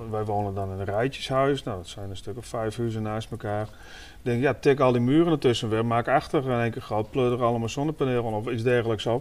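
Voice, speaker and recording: Spoken at a fairly quick pace, this is an unremarkable speaking voice. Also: man. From Leeuwarden, Friesland. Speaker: podcast host. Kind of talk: casual chat. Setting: on location in a small house.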